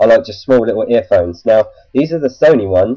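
A fairly quick pace against a quiet background. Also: man. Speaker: tech vlogger. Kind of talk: casual vlog chat. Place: home room. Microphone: webcam.

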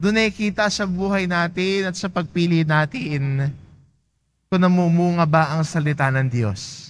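The recording is very clean, with a silent background. A high-pitched man speaks at a fairly slow pace with lively intonation. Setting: church. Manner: calm, measured pastoral delivery; gently exhortative, inviting tone.

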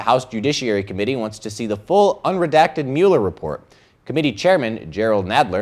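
A man talking at a fairly quick pace over a quiet background, his pitch swinging very widely. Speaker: student news anchor. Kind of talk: news reading. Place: studio. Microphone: lapel.

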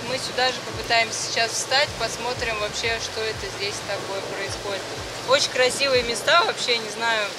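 A woman talks at a moderate pace while loud noise fills the background. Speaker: sailing vlogger. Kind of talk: casual vlog chat. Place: boat. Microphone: phone near.

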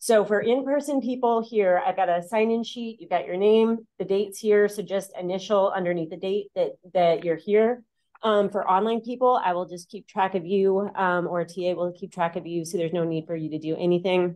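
A woman talks at a moderate pace with ordinary pitch variation and hardly any pauses. The background is quiet. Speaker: seminar instructor. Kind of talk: announcements. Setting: classroom. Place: classroom.

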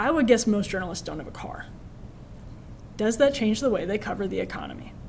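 Over light background noise, a woman with an American accent speaks in an ordinary speaking voice, fairly high in pitch with ordinary pitch variation. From Wisconsin, rural. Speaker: journalist and media commentator; journalist, media commentator. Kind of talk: lecture. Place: classroom. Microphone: podium.

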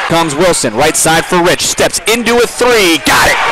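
Loud background noise sits behind a dry, echo-free voice moving at a moderate pace. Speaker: college basketball play-by-play announcer. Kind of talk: live play-by-play sports commentary over game highlights. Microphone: headset.

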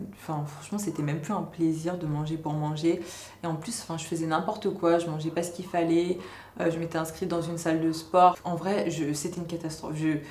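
A woman's fairly low voice, fairly quick and monotone, with audible room echo and light background noise. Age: 20s. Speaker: YouTuber. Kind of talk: vlog monologue. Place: home room.

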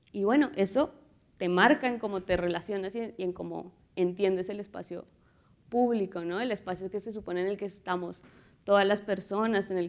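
The delivery moves at a moderate pace. It is an ordinary speaking voice. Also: woman. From Colombia. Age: 30s. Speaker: visual artist and muralist; speaker. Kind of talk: conference talk. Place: hall. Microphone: lapel.

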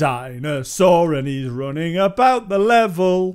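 This man has a high-pitched voice and a Geordie accent. The recording is very clean, with a silent background. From Northern England. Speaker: game reviewer. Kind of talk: casual gameplay commentary. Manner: mumbling.

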